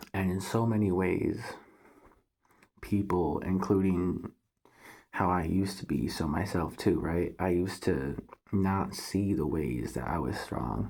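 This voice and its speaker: Very deep and low with vocal fry, a man's voice unfolds at a fairly slow pace with long, frequent pauses and audible room echo. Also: ordinary pitch variation. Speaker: spiritual vlogger. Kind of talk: casual monologue to camera. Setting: at home, thin walls. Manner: keeping voice down.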